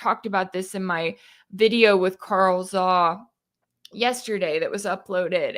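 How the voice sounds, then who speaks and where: Speaking at a fairly slow pace with an American accent, a woman is heard in a very clean recording against a silent background. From Texas. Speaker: independent news commentator. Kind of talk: live-stream Q&A. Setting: live stream from home. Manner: casual, conversational.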